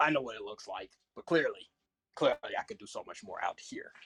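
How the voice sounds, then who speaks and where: A man puts on a raspy character voice at a fairly high pitch. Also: fairly quick pace. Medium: actual play. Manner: smug, chuckling.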